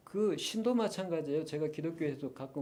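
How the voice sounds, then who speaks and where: With a dark, mellow tone, a man speaks in lively intonation amid audible room echo. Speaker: lecturer on Eastern philosophy. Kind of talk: lecture. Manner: fast.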